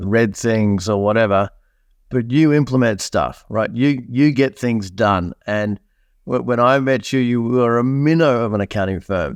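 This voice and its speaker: A man with an Australian accent at a fairly slow pace, quiet background behind him. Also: medium pitch for a man, ordinary pitch variation. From Australia, country New South Wales. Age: 50s. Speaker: entrepreneur. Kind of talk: podcast interview.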